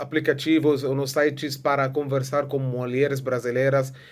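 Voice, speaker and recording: With an Arabic accent, a man speaks at a moderate pace in a fairly high pitch. His intonation is monotone and flat. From Egypt. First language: Arabic (speaking Portuguese). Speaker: vlogger. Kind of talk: casual vlog monologue. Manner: halting, many filler sounds.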